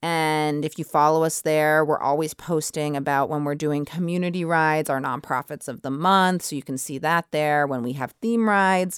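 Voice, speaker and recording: A woman with an American accent speaks at a moderate pace in a very deep, low pitch with hardly any pauses. Her intonation is fairly even, and the recording is very clean with a silent background. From US Northeast, Braintree near Boston. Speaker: spin studio owner. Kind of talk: radio interview.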